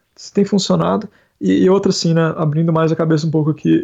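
A man speaks at a high pitch. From Brazil, interior of Paraná (Ibiporã). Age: 30s. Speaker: software developer. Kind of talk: casual chat.

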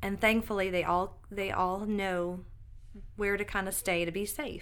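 A woman speaks with an American accent. There is audible echo in the room. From upstate New York. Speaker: nurse practitioner and mother. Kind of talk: casual interview chat.

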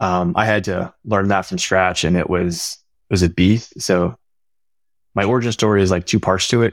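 A man speaks at a moderate pace in a very deep, low voice, his intonation fairly even, recorded very cleanly against a silent background with a dry, close sound and no echo. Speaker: security engineer. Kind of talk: casual interview.

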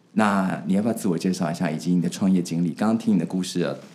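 Very deep and low in pitch, a man speaks at a very fast pace. His pitch variation is ordinary. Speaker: podcast host. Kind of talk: interview.

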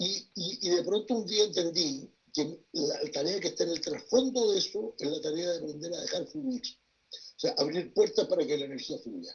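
Lively intonation from a high-pitched man at a moderate pace. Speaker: writer and tarot reader. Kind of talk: panel discussion.

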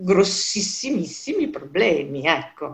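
A woman speaks at a fairly slow pace. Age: 60s. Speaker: self-employed professional interviewee. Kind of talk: interview. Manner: hesitant, with many fillers.

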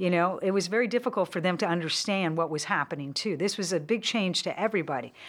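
With a Californian accent, a woman talks at a very fast pace with hardly any pauses, her medium pitch varying in an ordinary way on a very clean recording with a silent background. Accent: Californian American. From San Francisco Bay Area. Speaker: former celebrity photographer. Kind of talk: casual chat.

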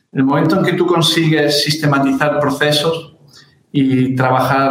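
A man speaks at a fairly high pitch and fairly slow pace in a flat monotone. Audible room echo and noticeable background noise surround him. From Spain, Granada. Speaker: architect. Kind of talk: interview.

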